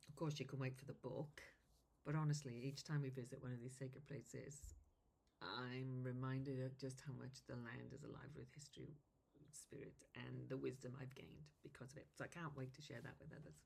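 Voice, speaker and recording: Using a very deep, low pitch and vocal fry, a woman with a Welsh accent speaks at a fairly quick pace with fairly even intonation and big swings in loudness. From Wales. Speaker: druid and tour guide. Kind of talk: self-interview monologue.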